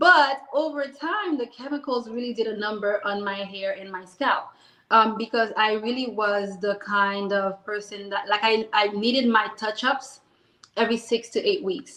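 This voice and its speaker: This woman has a fairly high, bright, sharp voice with a slight Haitian accent. Her pitch varies in an ordinary way at a moderate pace. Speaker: business owner. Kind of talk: interview. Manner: animated.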